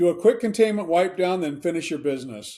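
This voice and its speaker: His voice has a dark, mellow tone. The man speaks with lively intonation. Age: old. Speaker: author and humorist. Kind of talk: humorous book reading. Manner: light-hearted, humorous.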